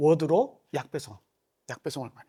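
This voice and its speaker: Here is a man's voice. Its pitch is fairly high. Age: middle-aged. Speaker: company country manager giving seminar. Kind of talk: seminar lecture. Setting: conference room with live audience. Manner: casual, many fillers.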